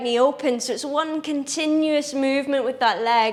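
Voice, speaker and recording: A woman with a Scottish accent speaks in a calm tone at a high pitch. Her pace is fairly slow and her intonation fairly even. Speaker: yoga teacher. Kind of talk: guided yoga class instruction. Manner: calm, instructive.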